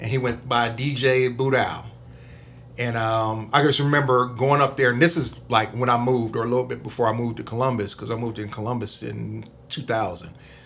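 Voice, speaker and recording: Audible room echo surrounds a voice that moves at a fairly quick pace with fairly even intonation. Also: man, medium pitch for a man. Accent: American. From Toledo, Ohio. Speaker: DJ. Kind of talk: casual interview.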